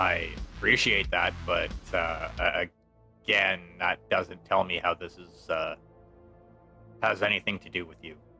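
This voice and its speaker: With faint music behind him, a man in a put-on character voice speaks at a very deep, low pitch, his loudness swinging widely between long, frequent pauses. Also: moderate pace. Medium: actual play. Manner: hesitant, evasive, halting.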